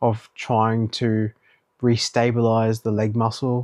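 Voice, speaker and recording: Over a quiet background, a man mumbles in a medium pitch with a dark, mellow tone and a monotone, flat delivery. The sound is dry and close, with no echo. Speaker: vlogger. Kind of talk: casual video diary. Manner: mumbling.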